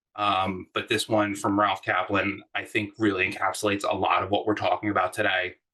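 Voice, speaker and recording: A loud man with a fairly low pitch and a bright, sharp tone, talking at a fairly quick pace with hardly any pauses. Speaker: design manager. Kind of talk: workshop talk. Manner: animated.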